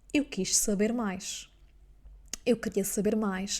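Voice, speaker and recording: A woman with a dark, mellow tone speaks at a fairly slow pace, her pitch varying in an ordinary way. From Azores, Portugal. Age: 20s. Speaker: business mentor and coach. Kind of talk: podcast monologue.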